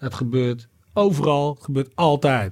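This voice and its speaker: At a very slow pace, a man speaks at a fairly high pitch with ordinary pitch variation. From Netherlands. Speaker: rapper and former city councillor. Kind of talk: casual chat.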